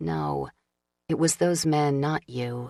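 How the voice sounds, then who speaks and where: A put-on character voice sits at a low-to-middle pitch and sounds shaky. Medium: read story. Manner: shaky, on the verge of tears.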